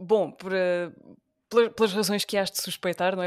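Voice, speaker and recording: Dry and close with no echo, this very clean recording has a silent background. A woman speaks fairly quickly at a medium pitch in a monotone, flat way. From Portugal, Beja (Alentejo). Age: 20s. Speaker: radio presenter. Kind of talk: casual interview conversation.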